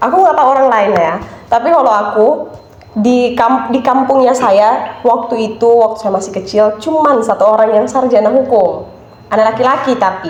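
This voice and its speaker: A woman talks fairly quickly at a fairly high pitch. Room echo and noticeable background noise can be heard. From Nias, North Sumatra, Indonesia. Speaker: law student. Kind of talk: casual podcast interview.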